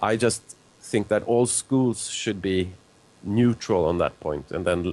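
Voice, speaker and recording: The speaker has a Swedish accent. The pace is fairly slow. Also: man. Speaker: zoologist and author. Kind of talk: live call-in discussion.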